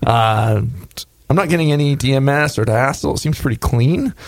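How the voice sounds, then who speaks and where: Using a normal speaking voice, a man talks at a fairly quick pace with lively intonation. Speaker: homebrew show host and beer judge. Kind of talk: casual chat and beer judging.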